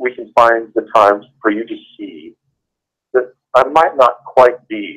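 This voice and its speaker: A man talks at a fairly slow pace. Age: 60s. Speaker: father of the channel owner. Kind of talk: casual chat. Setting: phone call. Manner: soft-spoken; halting.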